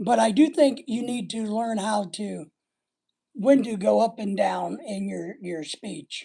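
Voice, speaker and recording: This put-on character voice is raspy and fairly high in pitch, delivered at a fairly slow pace. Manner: slightly muddled.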